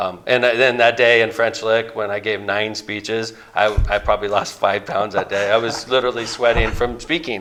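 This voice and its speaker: A man speaks in a Midwestern American accent. His medium-pitched voice keeps a fairly even intonation. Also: moderate pace, hardly any pauses. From northern Indiana, Lake County. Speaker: mayor and Senate candidate. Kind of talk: interview. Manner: loud.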